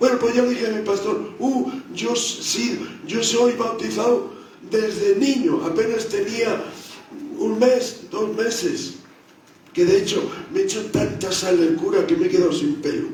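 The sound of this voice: Amid strong room echo, a man with a high pitch speaks at a fairly slow pace, his tone slightly mellow and his intonation fairly even.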